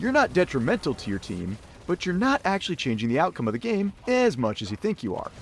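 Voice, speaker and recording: With an American accent, a man talks at a fairly quick pace in a high pitch that makes very wide swings. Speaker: gaming YouTuber. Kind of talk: game guide commentary. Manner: sarcastic, jokey.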